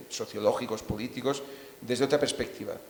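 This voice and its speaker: A man talks in a Catalan accent. Noticeable background noise runs underneath. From Catalonia. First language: Catalan (speaking Spanish). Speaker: novelist. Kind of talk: panel discussion.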